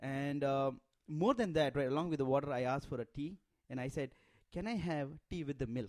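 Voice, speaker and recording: A man with an Indian accent, fairly high-pitched and animated, at a fairly quick pace with ordinary pitch variation. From India, Bombay. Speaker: immigrant telling his story. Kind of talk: casual interview chat.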